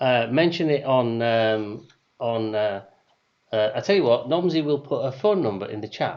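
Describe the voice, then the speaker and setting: This man's voice sits at a medium pitch with lively intonation. He talks at a moderate pace. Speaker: quiz host. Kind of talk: online quiz hosting. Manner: loud; hesitant, many fillers.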